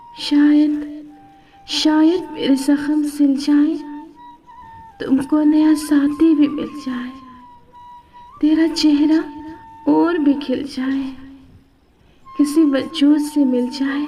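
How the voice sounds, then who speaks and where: With music in the background, a woman sounds sad, her high pitch held in a monotone, flat intonation. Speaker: poetry reciter. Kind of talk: poetry reading. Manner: sad, emotional.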